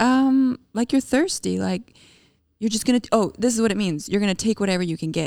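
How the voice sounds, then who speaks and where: Fairly high in pitch with lively intonation, a woman with an ordinary speaking voice talks at a fairly quick pace in a dry, close sound with no echo. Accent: Canadian. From Canada, Calgary, Alberta. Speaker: podcast co-host. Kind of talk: casual chat.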